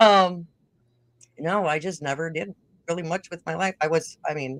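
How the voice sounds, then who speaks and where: A woman with a northern Minnesota accent talks at a moderate pace in a fairly low voice with ordinary pitch variation, the sound dry and close with no echo. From northern Minnesota, Roseau. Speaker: podcast host and music personality. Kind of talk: casual interview.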